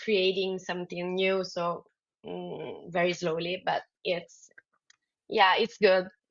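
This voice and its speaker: A woman speaks at a very slow pace with an Italian accent. Her pitch sits at a medium level. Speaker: dodgeball player. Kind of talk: podcast interview. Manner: halting, many fillers.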